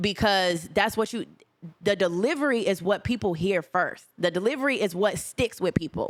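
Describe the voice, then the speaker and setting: A woman speaks at a medium pitch and moderate pace with lively intonation and a passionate, animated tone. The recording is very clean, with a silent background. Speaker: podcast co-host. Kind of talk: casual chat.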